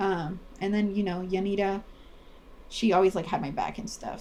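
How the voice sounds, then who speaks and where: In a Spanish accent, the voice is somewhat breathy, with a dark, mellow tone. Its intonation stays fairly even at a moderate pace. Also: woman. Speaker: podcast co-host. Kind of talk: casual chat.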